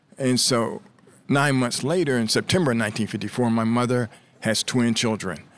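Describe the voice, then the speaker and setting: A man with an American accent speaks at a medium pitch and a moderate pace, with ordinary pitch variation. Noticeable background noise is present. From US Midwest, Columbus, Ohio. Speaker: author and journalism professor. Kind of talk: interview. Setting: conference venue.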